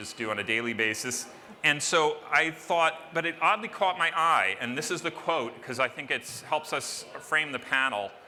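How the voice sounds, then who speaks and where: A man with a fairly high voice speaks at a fairly slow pace with lively intonation over noticeable background noise. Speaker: panel moderator. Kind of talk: conference panel introduction. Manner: loud.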